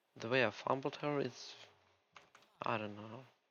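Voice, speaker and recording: With a non-native accent, a man speaks at a fairly slow pace. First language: Russian. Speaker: gaming youtuber. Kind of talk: casual gameplay rant. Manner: rambling, distracted.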